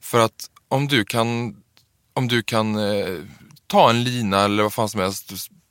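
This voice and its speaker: A man with an ordinary speaking voice, fairly low in pitch, with fairly even intonation and a fairly slow pace, in a dry, close sound with no echo and a very clean recording against a silent background. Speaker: drag performer and trainee librarian. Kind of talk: casual interview.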